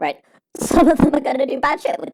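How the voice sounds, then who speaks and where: A woman talks at a moderate pace. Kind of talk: unscripted casual monologue about films. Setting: home recording late at night. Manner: rambling, hesitant, many fillers.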